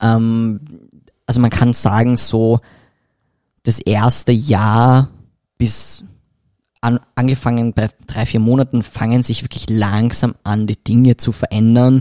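A man with a medium pitch and a dark, mellow tone speaks at a very slow pace in a monotone, flat intonation, with long, frequent pauses and a dry, close sound with no echo. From Austria, Vienna. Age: 20s. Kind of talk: podcast interview. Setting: studio, in person.

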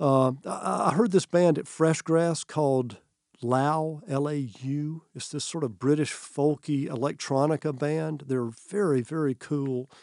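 At a fairly slow pace, a man talks in a fairly high pitch with an unremarkable speaking voice. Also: ordinary pitch variation. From US South, North Georgia. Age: 60s. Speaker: college president. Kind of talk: interview.

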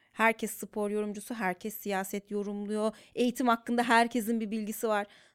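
A woman at a moderate pace and fairly high pitch, in dry, close sound with no echo and a very clean, silent background. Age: 30s. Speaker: psychologist working in media. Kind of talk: casual chat.

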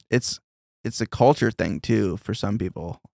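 In a very clean recording with a silent background and a dry, close sound with no echo, a man at medium pitch talks at a moderate pace with vocal fry. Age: 30s. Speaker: podcast host. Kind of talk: casual chat.

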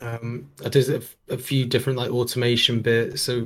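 A man's somewhat breathy, monotone voice at medium pitch and moderate pace, on a very clean recording with a silent background. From Jersey, Channel Islands. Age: young. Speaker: music producer. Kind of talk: casual chat. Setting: studio.

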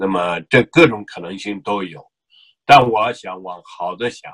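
A man's fairly low pitch with ordinary variation. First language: Uyghur (speaking Chinese). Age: 50s. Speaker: activist, association chairman. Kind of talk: interview. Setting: remote call. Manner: hesitant, many fillers.

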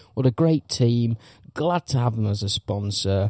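Speaking in an English accent at medium pitch, a man talks fairly slowly in a dark, mellow, somewhat breathy tone, recorded with a dry, close sound and no echo. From England. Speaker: podcast host. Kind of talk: casual banter podcast. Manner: sweary, chatty.

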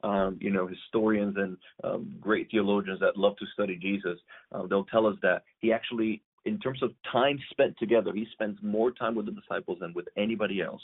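The speaker has a Spanish accent and talks at a fairly quick pace. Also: man, fairly low pitch for a man, ordinary pitch variation. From Puerto Rico. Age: 30s. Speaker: pastor. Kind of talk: casual interview. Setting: remote call.

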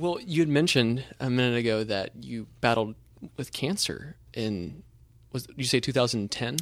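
An unremarkable speaking voice at a fairly slow pace, with ordinary pitch variation. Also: man, medium pitch for a man. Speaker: interviewer. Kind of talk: interview conversation.

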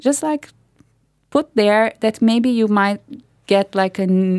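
In a very clean recording with a silent background, a woman with a Portuguese accent speaks at a moderate pace with ordinary pitch variation. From Brazil. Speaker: artist and food activist. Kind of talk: interview. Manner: halting.

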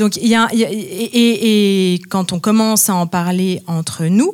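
Her intonation fairly even and her pitch medium, this woman has an unremarkable speaking voice. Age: 30s. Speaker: music teacher and researcher. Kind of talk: panel discussion. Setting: stage with audience.

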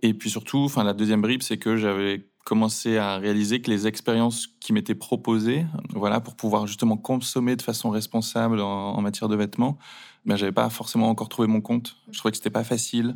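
This very clean recording has a silent background. A man of medium pitch talks at a fairly quick pace with fairly even intonation. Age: 30s. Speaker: e-commerce founder. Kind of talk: interview. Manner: hesitant, with fillers.

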